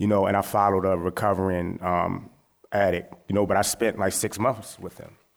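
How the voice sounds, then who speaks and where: An ordinary speaking voice with an American accent at a fairly quick pace. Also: man. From West Baltimore, Maryland, US. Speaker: photographer. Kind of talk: panel discussion.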